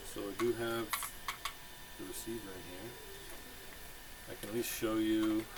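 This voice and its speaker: A man mumbles in a flat monotone, leaving long, frequent pauses, while his loudness swings widely. Noticeable background noise and audible room echo surround him. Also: medium pitch for a man, moderate pace. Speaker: RC hobbyist video maker. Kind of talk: casual hands-on tutorial. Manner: mumbling. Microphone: poor microphone.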